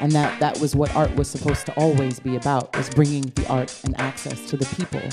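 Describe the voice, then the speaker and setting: With music in the background, a woman with a New York accent and a very deep, low pitch speaks at a fairly quick pace with ordinary pitch variation. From Brooklyn, New York. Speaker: spoken word poet. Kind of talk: poetry performance.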